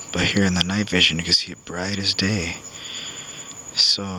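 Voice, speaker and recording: Very deep and low, a man's voice holds a calm tone and monotone, flat intonation over noticeable background noise. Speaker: navy veteran, former corpsman. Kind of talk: casual talk to camera. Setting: outdoors.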